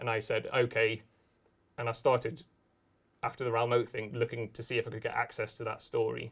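Speaking at a very fast pace, a man sounds somewhat breathy, his pitch sitting at a medium level. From northern England. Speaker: journalist and author. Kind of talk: live interview. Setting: stage with audience.

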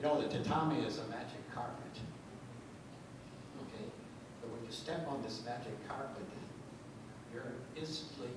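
Loud background noise and audible room echo surround a man's voice. He speaks at a moderate pace with long, frequent pauses. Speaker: karate practitioner. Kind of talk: award acceptance speech. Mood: grateful, warm. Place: hall.

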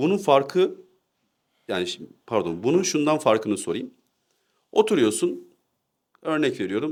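A man speaks fairly slowly, with long, frequent pauses. The recording is very clean, with a silent background. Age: 20s. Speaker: discussion partner. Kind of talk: casual discussion.

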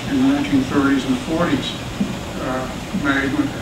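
A man talks at a medium speed while loud noise fills the background. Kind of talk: farewell speech to staff. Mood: reflective, wry. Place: classroom. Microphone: camera far.

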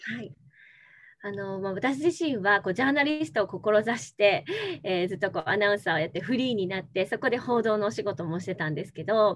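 A woman's fairly quick speech with very wide pitch swings over a quiet background. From Tokyo. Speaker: former TV announcer, NPO leader. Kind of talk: interview answer. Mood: warm, smiling. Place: home room. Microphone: video call.

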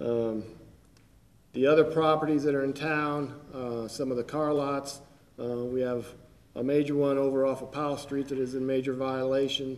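There is audible room echo as a man speaks with little pitch movement. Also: medium pitch for a man, moderate pace.

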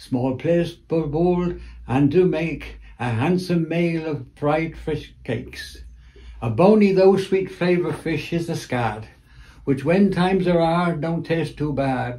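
A man's fairly high voice with a dark, mellow tone, in a Cornish accent, at a very slow pace with ordinary pitch variation. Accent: Cornish (West Cornwall). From Cornwall. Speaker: retired museum curator and dialect poet; dialect poet. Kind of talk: poetry reading. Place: home room. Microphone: phone near.

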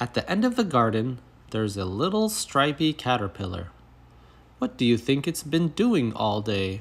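A man's medium-pitched, somewhat breathy voice, dramatic and playful in tone, with very wide pitch swings at a moderate pace. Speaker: storybook reader. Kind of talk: children's story read aloud. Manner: dramatic, expressive storytelling with playful emphasis.

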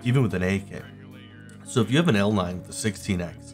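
With music in the background, a man with a fairly low pitch talks at a medium speed, his pitch varying in a normal way. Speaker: gaming video narrator. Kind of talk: gameplay commentary.

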